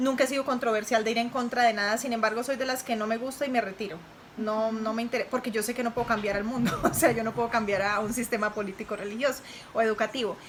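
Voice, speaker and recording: Delivered at a very fast pace with fairly even intonation, the speech comes over noticeable background noise. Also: woman, fairly high pitch for a woman. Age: 30s. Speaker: interviewee, mother of host. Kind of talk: interview.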